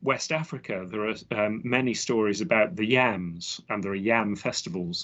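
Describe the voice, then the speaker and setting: The man, in an English accent, delivers his words at a moderate pace. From southwest London, England. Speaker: botanist and author. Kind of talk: interview. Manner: halting, many fillers.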